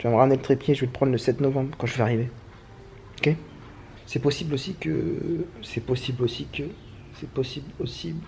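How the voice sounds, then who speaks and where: A man talks in a medium pitch with ordinary pitch variation. He leaves long, frequent pauses. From France. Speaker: travel vlogger. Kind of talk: casual vlog monologue. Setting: at home, handheld camera. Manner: fast; casual slangy.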